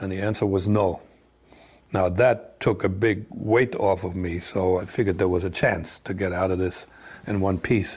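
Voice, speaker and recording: A man with a German accent and a very deep, low, somewhat breathy voice speaks at a moderate pace in a monotone, flat intonation, on a very clean recording with a silent background. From East Germany. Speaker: former spy. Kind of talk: interview. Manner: halting.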